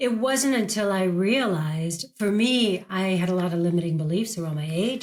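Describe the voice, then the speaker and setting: A woman with an American accent talks at a fairly quick pace in a normal speaking voice. Her pitch sits fairly low. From United States. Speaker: actress and career coach. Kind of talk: podcast interview.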